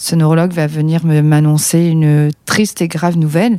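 A woman is talking. The tone of her voice is dark and mellow. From southern France, Perpignan. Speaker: paralympic athlete. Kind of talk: testimony. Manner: halting.

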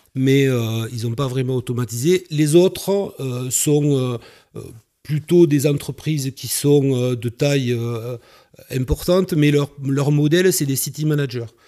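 At a very slow pace, a man with a dark, mellow tone speaks fairly high, with ordinary pitch variation. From southern France, Carcassonne. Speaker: entrepreneur. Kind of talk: interview. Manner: halting.

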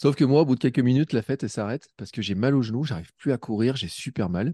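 A man's dark, mellow voice, very fast, with lively intonation, over a quiet background with a dry, close sound and no echo. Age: 40s. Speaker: podcaster and amateur runner. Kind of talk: casual chat.

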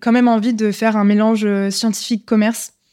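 A woman with a fairly high voice speaks in a fairly even intonation, captured on a very clean recording over a silent background. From France, Lyon. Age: 20s. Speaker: entrepreneur. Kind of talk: casual interview. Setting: live recording in person. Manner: hesitant, many fillers.

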